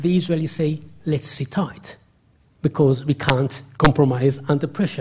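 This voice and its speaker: At a moderate pace, a man talks in a somewhat breathy voice at a fairly high pitch with ordinary pitch variation. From Israel. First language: Hebrew. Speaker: academic, historian. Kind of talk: public lecture with Q&A. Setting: lecture hall with audience.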